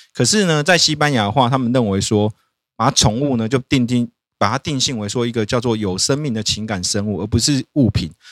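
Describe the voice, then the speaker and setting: A man talks at a fairly quick pace in an unremarkable speaking voice of medium pitch with ordinary pitch variation. The sound is dry and close, with no echo. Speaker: lawyer podcast host. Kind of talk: casual chat.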